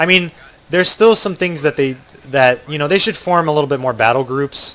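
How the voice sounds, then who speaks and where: Noticeable background noise accompanies a man with an American accent who talks at a fairly quick pace with lively intonation and fairly high pitch. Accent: American accent, remarked on by viewers. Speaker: video game streamer. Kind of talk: live gameplay commentary. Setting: livestream. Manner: casual, filler-heavy with frequent ums and restarts.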